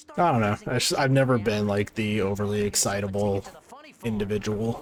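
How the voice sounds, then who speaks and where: A man speaks in a calm tone at a fairly quick pace and fairly low pitch, with ordinary pitch variation and noticeable background noise. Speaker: gaming streamer. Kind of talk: casual livestream commentary. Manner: low-energy, calm.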